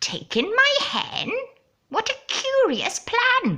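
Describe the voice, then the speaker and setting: In a put-on character voice, a woman sounds squeaky at an extremely high pitch. Her pace is very slow. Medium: read story. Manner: fussy, grumbling.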